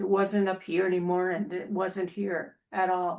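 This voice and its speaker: A woman speaks with an Upper Midwest US accent at medium pitch. The recording is very clean, with a silent background. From Minnesota. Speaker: Toastmasters host. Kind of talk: casual discussion.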